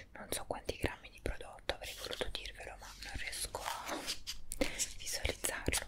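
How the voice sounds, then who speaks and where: A soft-spoken woman whispering over loud background noise. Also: moderate pace. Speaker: beauty vlogger. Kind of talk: product review vlog chat. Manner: soft ASMR whisper. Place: home room. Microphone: earbuds.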